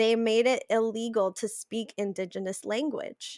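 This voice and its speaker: A woman's fairly high voice at a fairly slow pace, with ordinary pitch variation, a dry, close sound without echo, and a very clean recording over a silent background. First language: Spanish. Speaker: podcast guest. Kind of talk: podcast interview conversation.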